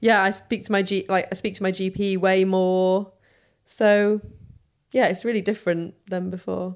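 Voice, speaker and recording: A woman speaks with a northern English accent and monotone, flat intonation. The recording is very clean, with a silent background. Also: medium pitch for a woman, moderate pace. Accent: soft northern English. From Sheffield, northern England. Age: 30s. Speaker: interviewee with Crohn's disease. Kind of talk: casual interview.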